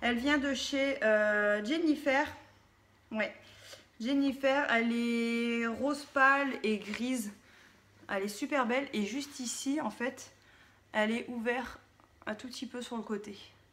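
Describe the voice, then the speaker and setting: Her intonation fairly even, a woman speaks in a high pitch. She goes at a very slow pace, with long, frequent pauses. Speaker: lifestyle vlogger. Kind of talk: casual show-and-tell vlog. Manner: hesitant with fillers.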